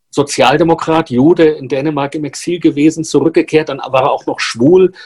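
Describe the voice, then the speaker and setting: A man speaks at a moderate pace in a fairly high pitch. His voice is somewhat breathy, with fairly even intonation. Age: old. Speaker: journalist co-host. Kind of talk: casual chat.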